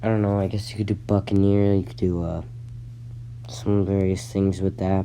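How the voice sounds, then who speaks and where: At a moderate pace, a man talks with a fairly low pitch, a dark, mellow tone and ordinary pitch variation. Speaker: gaming YouTuber. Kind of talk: casual commentary. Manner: halting, many fillers and restarts.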